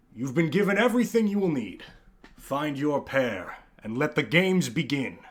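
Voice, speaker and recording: A booming, put-on character voice moves at a moderate pace through very wide pitch swings. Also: man, fairly high pitch for a man. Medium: actual play. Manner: grand, ceremonial.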